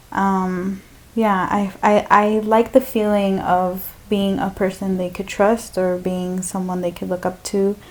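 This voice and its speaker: A woman at medium pitch speaks at a fairly slow pace with monotone, flat intonation and hardly any pauses. The recording is very clean, with a silent background. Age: 20s. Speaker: podcast guest, church catechist. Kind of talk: casual interview chat.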